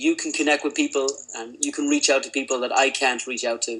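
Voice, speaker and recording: Speaking at a fairly quick pace, a man talks with an Irish accent. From Ireland. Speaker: lean healthcare consultant. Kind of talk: webinar presentation. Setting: online webinar.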